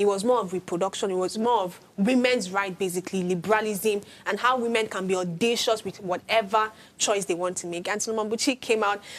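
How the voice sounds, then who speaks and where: Using a plain, everyday voice, a woman talks at a fairly quick pace and medium pitch with fairly even intonation. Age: young. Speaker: talk show panelist. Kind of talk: panel discussion.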